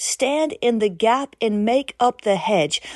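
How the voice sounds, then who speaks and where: Against a quiet background with a dry, close sound and no echo, a woman with an unremarkable speaking voice and fairly high pitch talks at a fairly slow pace with lively intonation. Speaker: prayer podcast host and preacher. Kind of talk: fervent prophetic prayer, delivered as a commanding declaration in God's voice. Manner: intense, urgent, solemn and commanding.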